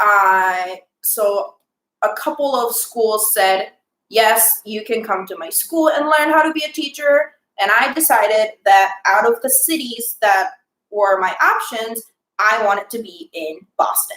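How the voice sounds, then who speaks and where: A fairly slow, fairly high-pitched woman's voice with a Japanese accent, lively intonation and big swings in loudness. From Japan, Osaka Prefecture. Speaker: teacher. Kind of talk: interview.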